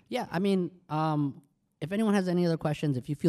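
Speaking at a fairly quick pace, a man has a dark, mellow tone on a very clean recording with a silent background. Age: 30s. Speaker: podcast co-host, business owner. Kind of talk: casual chat. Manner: animated.

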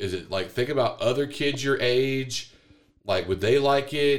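A plain, everyday voice from a man, moderate in pace and medium in pitch. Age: 40s. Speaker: podcast co-host, father. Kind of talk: casual chat.

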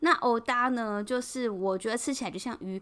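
A woman's fairly high-pitched voice, bright and sharp in tone, with a strong Taiwanese accent, in a very clean recording with a silent background. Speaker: podcast host. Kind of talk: casual solo podcast monologue. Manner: hesitant, many filler sounds.

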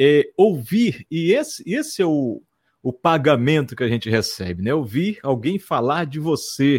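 Very wide pitch swings mark this man's fairly slow delivery. The recording is very clean, with a silent background. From Amazonas interior, Brazil (Barreirinha). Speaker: radio host. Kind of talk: casual interview chat.

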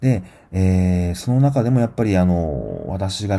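Very deep and low in pitch, a man's dark, mellow tone moves through very wide pitch swings. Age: 40s. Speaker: podcast host reviewing films. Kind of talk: solo film review podcast. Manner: frequent fillers and hesitations.

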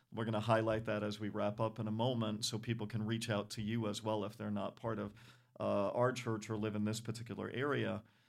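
Speaking at a fairly quick pace, a man with an American accent uses a fairly low, monotone, flat delivery with vocal fry. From Rhode Island, US. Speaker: church podcast host. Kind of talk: casual interview.

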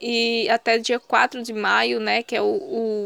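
In a dry, close sound with no echo, a woman speaks at a high pitch. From Pernambuco sertão, Brazil. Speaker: youth movement coordinator. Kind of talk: interview. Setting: video call.

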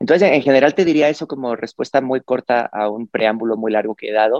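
Recorded dry and close with no echo against a quiet background, a man speaks at a medium pitch. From Spain, Cáceres (Extremadura). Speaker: designer and educator. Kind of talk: interview. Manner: hesitant, many fillers.

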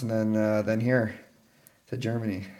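An American accent amid noticeable background noise. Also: man. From Texas, San Antonio area. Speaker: professional ice hockey player. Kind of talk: casual interview.

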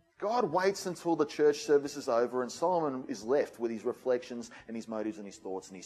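A man with an Australian accent talks at a very fast pace, with hardly any pauses. His pitch swings very widely and his loudness rises and falls sharply. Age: 40s. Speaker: pastor. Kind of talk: sermon.

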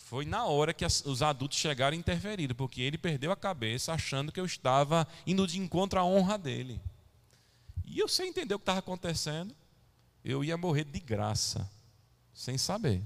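A man's lively intonation with vocal fry. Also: fairly high pitch for a man, moderate pace. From São Paulo, Brazil. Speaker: pastor. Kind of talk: sermon. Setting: church.

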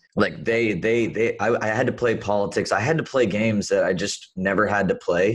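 A man speaks at a moderate pace with hardly any pauses in an unremarkable speaking voice. His fairly low pitch shows ordinary variation, and his loudness stays very even. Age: 20s. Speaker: entrepreneur. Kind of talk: interview.

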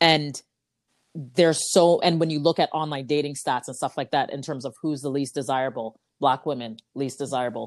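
A woman with a Canadian accent speaks at a very deep, low pitch. Her pace is moderate, on a very clean recording with a silent background. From Canada (Ajax, Ontario). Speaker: podcast guest, host's sister. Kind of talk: casual chat.

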